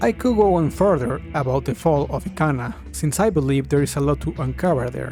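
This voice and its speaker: Over music in the background, a man with a non-native accent speaks at a fairly high pitch. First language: not English. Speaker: video game theorist. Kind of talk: video essay narration. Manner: at times hesitant, hard to understand.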